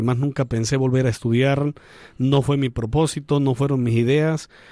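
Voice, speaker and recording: In a very clean recording with a silent background, a man with a medium pitch and a dark, mellow tone talks at a moderate pace with fairly even intonation. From Venezuela, Andean region (Mérida). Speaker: priest. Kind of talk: radio interview. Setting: studio.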